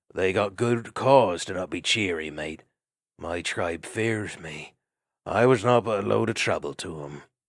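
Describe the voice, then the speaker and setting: Putting on a character voice, a man growls out raspy words at a very deep, low pitch with lively intonation and a moderate pace on a very clean recording with a silent background. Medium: read story.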